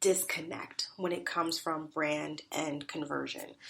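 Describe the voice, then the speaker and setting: A woman talks at a very slow pace. Vocal fry runs through her voice. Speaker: podcast host. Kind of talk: solo podcast talk. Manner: casual conversational.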